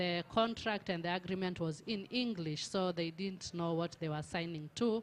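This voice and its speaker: Speaking in a Tanzanian accent, a woman keeps a moderate pace. Her pitch is fairly low and her intonation fairly even. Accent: Tanzanian (Maasai) English. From Tanzania, Maasai. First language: Maasai. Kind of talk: panel presentation.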